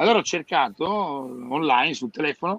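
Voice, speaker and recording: This man has an unremarkable speaking voice and lively intonation, moving at a moderate pace. The sound is dry and close, with no echo. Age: 50s. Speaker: hairdresser business consultant. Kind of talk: casual chat.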